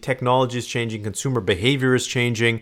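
In a very clean recording with a silent background, an ordinary speaking voice goes along at a fairly quick pace. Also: man. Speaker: business podcast host. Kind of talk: solo educational talk.

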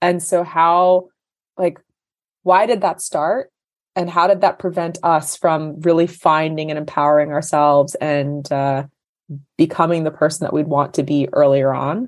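This woman has a very deep, low pitch and speaks with an American accent. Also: ordinary pitch variation, moderate pace. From US. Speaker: nonprofit founder. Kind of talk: interview conversation.

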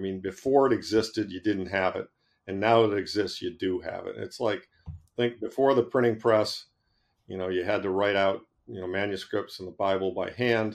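A man with an American accent and an ordinary speaking voice, fairly low in pitch, at a moderate pace, with fairly even intonation, big swings in loudness, and a quiet background. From Boston, Massachusetts. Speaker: investment manager. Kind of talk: interview.

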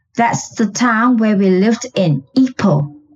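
A somewhat breathy woman's voice, fairly high in pitch, with lively intonation at a very slow pace. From Malaysia. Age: 70s. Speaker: guest, pet illustrator. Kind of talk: storytelling, casual interview.

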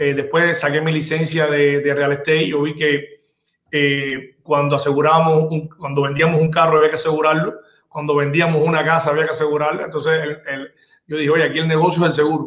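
Talking fairly quickly, a man delivers his words. The intonation stays monotone and flat. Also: fairly high pitch for a man. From Cuba. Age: 40s. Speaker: insurance business owner. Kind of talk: interview. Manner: halting, many repetitions.

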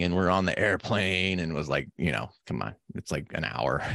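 Against a quiet background, a man with an American accent speaks at a fairly quick pace with a very deep, low pitch and vocal fry. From Nevada, US. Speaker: physician podcast co-host. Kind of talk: casual chat. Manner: halting, many restarts.

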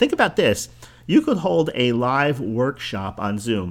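The voice swings very widely in pitch, with a slight New Jersey accent. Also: man. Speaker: podcast host, business coach. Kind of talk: solo podcast monologue.

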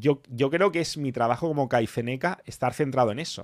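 A man's medium-pitched, animated voice at a moderate pace, with ordinary pitch variation, on a very clean recording with a silent background. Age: 40s. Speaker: motivational channel host. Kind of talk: live stream panel talk.

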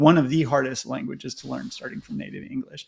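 The recording is very clean with a silent background, carrying a man's fairly high voice with vocal fry. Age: 50s. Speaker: tech commentator. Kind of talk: casual chat.

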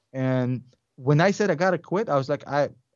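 A man speaks with a Russian accent. His fairly high voice has lively intonation. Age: 30s. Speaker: investing YouTuber. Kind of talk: casual chat.

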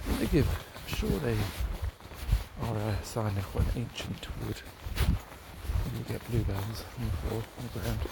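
A man's very deep, low voice, very slow and full of very wide pitch swings, amid noticeable background noise. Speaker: dog walker, podcaster. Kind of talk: solo daily diary, casual monologue. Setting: outdoors in woods. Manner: relaxed, rambling, descriptive.

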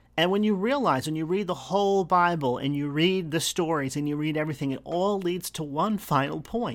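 This man has a fairly high pitch and ordinary pitch variation. He talks at a fairly quick pace with hardly any pauses. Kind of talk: faith monologue. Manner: earnest, with filler words.

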